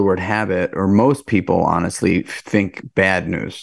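Speaking fairly slowly against a quiet background, the man has an ordinary speaking voice at a fairly low pitch. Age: 40s. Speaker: restaurant entrepreneur and fitness advocate. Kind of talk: casual interview.

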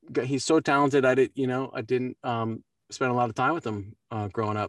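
A man speaks at a fairly quick pace with ordinary pitch variation, recorded dry and close with no echo, very clean against a silent background. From US East Coast, Baltimore. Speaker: voice actor. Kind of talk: interview. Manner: halting.

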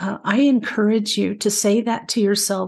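Against a quiet background, a woman with a Mid-Atlantic accent speaks at a medium pitch and moderate pace, sounding somewhat breathy. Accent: American, Mid-Atlantic. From US, Maryland (Frederick). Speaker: spiritual podcast host, angel communicator. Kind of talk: spiritual teaching talk.

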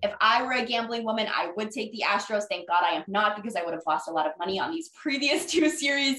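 A woman with an American accent speaks at a very fast pace and a fairly high pitch, with hardly any pauses. Her pitch swings very widely over noticeable background noise. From Jacksonville, Florida. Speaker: sports reporter and podcast host. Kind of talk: casual chat.

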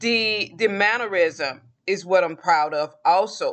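Lively intonation from a woman at medium pitch, in a Southern US accent, at a fairly slow pace. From US South, Georgia. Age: 40s. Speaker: podcast host. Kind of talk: casual solo monologue.

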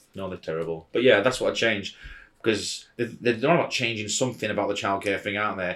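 He has a plain, everyday voice, pitched fairly low. The man talks at a fairly quick pace with ordinary pitch variation. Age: 30s. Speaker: father, podcast guest. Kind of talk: casual chat.

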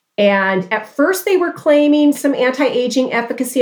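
A woman's high voice swings very widely in pitch over noticeable background noise. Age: 60s. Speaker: dermatologist. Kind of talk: interview.

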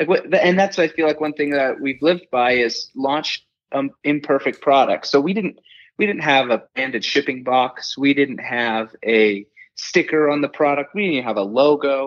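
A man with an American accent and a plain, everyday voice speaks at a moderate pace and fairly high pitch with ordinary pitch variation, over a quiet background. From Washington state, US. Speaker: entrepreneur. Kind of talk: casual chat.

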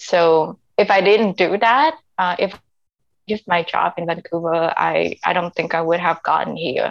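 In a dry, close sound with no echo, a woman with a Vietnamese accent speaks fairly slowly at a fairly low pitch, with vocal fry and fairly even intonation. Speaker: immigrant sharing life story. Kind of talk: interview. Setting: internet call. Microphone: unstable internet connection.

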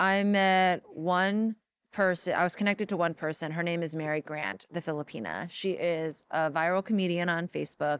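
A plain, everyday voice with an American accent at a moderate pace, fairly even in intonation with hardly any pauses, in a very clean, dry, close recording with a silent background and no echo. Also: woman, fairly low pitch for a woman. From Los Angeles, US. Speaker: tv host and writer. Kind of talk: interview conversation. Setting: in person, Los Angeles.

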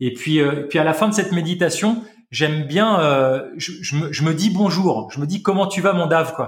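Speaking at a fairly slow pace, a man lets his pitch vary in an ordinary way. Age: 40s. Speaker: health practitioner and longevity teacher. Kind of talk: casual chat. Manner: animated.

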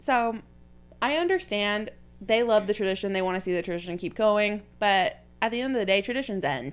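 This woman talks at a fairly quick pace, her medium pitch moving with ordinary variation. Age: 20s. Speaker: podcast host. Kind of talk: casual chat. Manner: animated.

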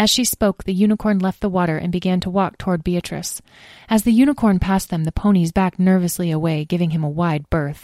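A natural reading voice, pitch rising and falling in an ordinary way

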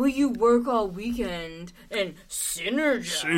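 A female-sounding voice pitched fairly high does a put-on character voice. The pace is fairly slow. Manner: menacing, creepy.

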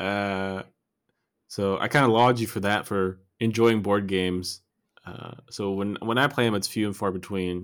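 This man has an unremarkable speaking voice with an American accent, fairly low in pitch with ordinary pitch variation. He talks at a moderate pace in a very clean recording with a silent background. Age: 30s. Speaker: podcast co-host. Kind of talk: casual chat.

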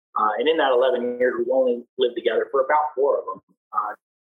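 The speech moves at a fairly quick pace. Music plays in the background, and the sound is dry and close with no echo. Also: man. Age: 30s. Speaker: navy aviation rescue swimmer and former motorcycle racer. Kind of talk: casual interview. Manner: halting, many fillers and repetitions.

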